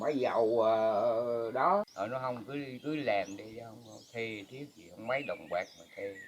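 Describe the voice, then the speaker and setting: Noticeable background noise sits behind a man speaking at a fairly slow pace. His pitch is medium, with ordinary variation and big swings in loudness. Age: 80s+. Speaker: farmer. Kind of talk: casual chat.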